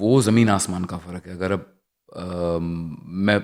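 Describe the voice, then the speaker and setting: Recorded very cleanly over a silent background, a man with a very deep, low pitch speaks with fairly even intonation. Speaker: actor and former radio jockey. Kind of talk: casual interview chat. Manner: clear diction.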